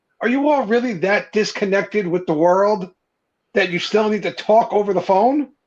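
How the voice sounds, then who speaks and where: A man with a strong New Jersey accent speaks at a high pitch and moderate pace, with ordinary pitch variation. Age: 30s. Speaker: podcast guest, beard content creator. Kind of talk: casual chat.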